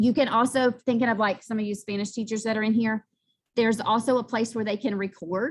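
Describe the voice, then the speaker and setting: A woman's fairly high, somewhat breathy voice at a fairly quick pace, with fairly even intonation. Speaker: math teacher. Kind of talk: presentation. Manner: fast.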